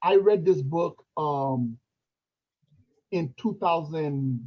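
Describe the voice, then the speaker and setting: The voice has a dark, mellow tone and a Haitian accent. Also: man. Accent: Haitian French accent, shows when reading. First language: French. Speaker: motivational livestream host. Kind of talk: casual livestream chat. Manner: halting.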